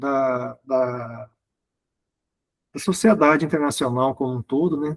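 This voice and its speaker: A man speaks very slowly, leaving long, frequent pauses, with ordinary pitch variation. The sound is dry and close with no echo. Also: medium pitch for a man. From Brazil, Minas Gerais (Uberlândia). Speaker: guest lecturer. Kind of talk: online lecture. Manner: halting, many fillers and repetitions.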